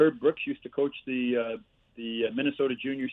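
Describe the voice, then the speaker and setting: Using a plain, everyday voice, a man with a Canadian accent talks at a moderate pace and a medium pitch, with fairly even intonation. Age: 60s. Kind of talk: casual interview storytelling. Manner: chatty storyteller.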